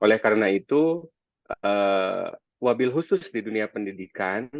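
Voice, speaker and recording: A man with a slight Sundanese accent, medium in pitch, at a fairly slow pace with lively intonation. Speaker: anti-corruption educator. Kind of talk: webinar presentation. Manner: halting, many fillers.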